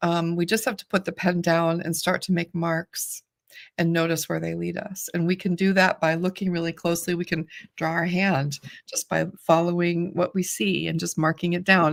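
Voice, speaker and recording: A woman speaks at a moderate pace in a plain, everyday voice, her fairly low pitch carrying fairly even intonation in a dry, close sound with no echo. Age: 60s. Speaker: artist and teacher. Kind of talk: casual chat.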